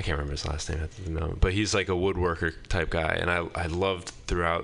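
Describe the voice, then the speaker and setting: A man speaks at a very deep, low pitch. His intonation stays fairly even. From Maine. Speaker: comedian. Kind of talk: casual chat. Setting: studio.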